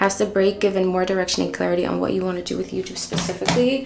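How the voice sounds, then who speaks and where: In an American accent, a woman talks at a very fast pace and medium pitch. Noticeable background noise and audible room echo can be heard. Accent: American-sounding English. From Netherlands. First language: Dutch. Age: 20s. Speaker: beauty and lifestyle vlogger. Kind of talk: casual chat while doing makeup. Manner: casual, filler-heavy.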